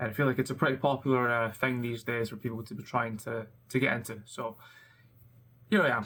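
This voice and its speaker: Speaking very fast with a Scottish accent, a man with a medium pitch and a bright, sharp tone keeps his intonation fairly even while leaving long, frequent pauses. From Scotland. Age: 20s. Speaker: web developer. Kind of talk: casual vlog talk. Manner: hesitant, many fillers.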